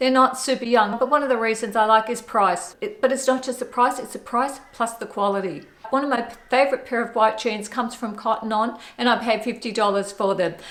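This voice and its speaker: A woman with an Australian accent, a fairly high pitch, fairly even intonation and a fairly quick pace. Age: 60s. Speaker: fashion vlogger. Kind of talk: fashion styling tutorial.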